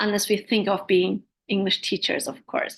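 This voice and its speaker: A woman speaking over a quiet background. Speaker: English teacher trainer. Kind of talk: webinar talk.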